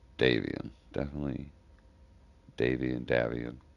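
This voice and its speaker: Here a man speaks with a very deep, low pitch and some vocal fry. His pace is moderate and his tone relaxed. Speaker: game streamer. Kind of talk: live gameplay stream commentary. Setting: live stream. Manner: talks low and mumbles when thinking; casual, relaxed.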